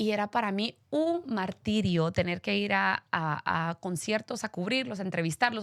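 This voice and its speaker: A woman speaks at a moderate pace and a medium pitch. The sound is dry and close with no echo, and the recording is very clean with a silent background. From Guatemala, Guatemala City. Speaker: radio host. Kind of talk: interview.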